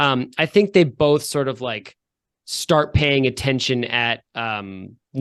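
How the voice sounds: Quiet surroundings behind a natural reading voice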